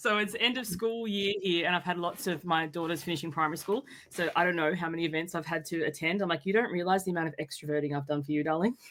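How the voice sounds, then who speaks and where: A woman with an Australian accent, fairly low-pitched, very fast, with ordinary pitch movement. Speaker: boundaries coach. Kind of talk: casual interview chat.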